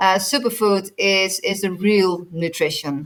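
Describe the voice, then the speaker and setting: With ordinary pitch variation, a woman's voice stays at a medium pitch. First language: not English. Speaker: nutritionist. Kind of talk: interview. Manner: halting, many repeated words.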